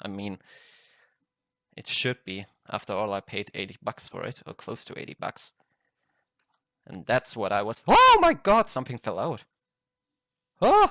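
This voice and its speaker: The man speaks at a moderate pace, with a dry, close sound and no echo. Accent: non-native. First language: not English. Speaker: card game collector, YouTuber. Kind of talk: unboxing video. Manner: halting, self-correcting.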